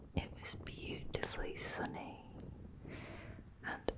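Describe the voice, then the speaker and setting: A woman whispers against noticeable background noise. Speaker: ASMR creator, travel vlogger. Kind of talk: whispered travel narration to camera. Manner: whispered, soft-spoken.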